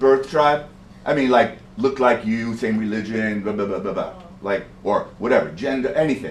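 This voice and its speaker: An animated man speaks with an American accent. His pitch is medium, with ordinary variation. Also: moderate pace. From New York City (Bronx). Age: 60s. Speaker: poet and storyteller. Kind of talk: performance to audience.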